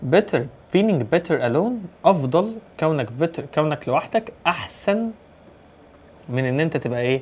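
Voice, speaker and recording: The speech is broken by long, frequent pauses, and the pitch swings very widely. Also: man, fairly high pitch for a man. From Egypt. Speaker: English teacher. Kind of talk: exam review tutorial. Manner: fast. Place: home room.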